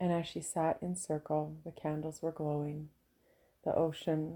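A woman's very deep, low voice has a dark, mellow, calm and relaxed tone. Her intonation is monotone and flat in a very clean recording with a silent background. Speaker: podcast host and women's soul coach. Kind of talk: reflective monologue. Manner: slow.

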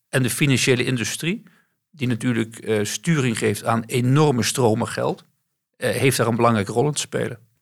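A man with a plain, everyday voice speaks at a moderate pace, his medium pitch carrying fairly even intonation. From West-Brabant, Netherlands. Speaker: bank CEO. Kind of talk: interview.

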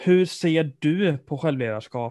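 The recording is dry and close, with no echo. A man speaks in a dark, mellow tone. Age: 20s. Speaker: student podcast co-host. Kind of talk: interview.

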